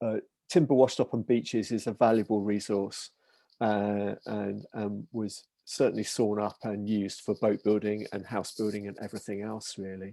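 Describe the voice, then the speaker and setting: In an English accent, a man speaks at a moderate pace and a fairly low pitch, his dark, mellow tone and fairly even intonation captured with a dry, close sound and no echo. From England. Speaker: maritime heritage researcher. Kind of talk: online talk Q&A.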